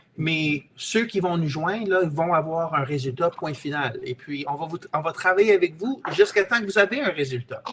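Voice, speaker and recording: Against noticeable background noise, a man with a high-pitched voice talks with hardly any pauses. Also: ordinary pitch variation, moderate pace. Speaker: real estate investor and trainer. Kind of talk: webinar sales pitch. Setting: online webinar. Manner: halting, with many repetitions and hesitations.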